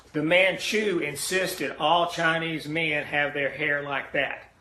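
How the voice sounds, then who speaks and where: A man speaks at a fairly high pitch with fairly even intonation. Audible room echo and noticeable background noise surround him. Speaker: history teacher. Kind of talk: recorded lecture.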